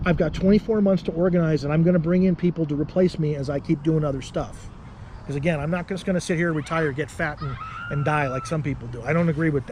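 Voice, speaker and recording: A man talks very fast in an American accent with a fairly high pitch. Background noise is noticeable. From Arizona, Tucson. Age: 40s. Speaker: political candidate. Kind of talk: interview. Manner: animated.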